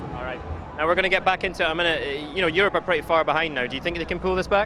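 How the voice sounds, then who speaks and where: A man talks at a very fast pace in a high voice, with fairly even intonation. Noticeable background noise sits behind him. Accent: Scottish. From Scotland. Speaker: esports presenter. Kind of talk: live commentary.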